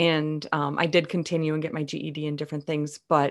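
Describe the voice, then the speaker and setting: A woman with an American accent and a plain, everyday voice talks at a fairly quick pace on a very clean recording with a silent background. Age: 50s. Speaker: voice actor, improv performer and speaker. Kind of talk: casual chat.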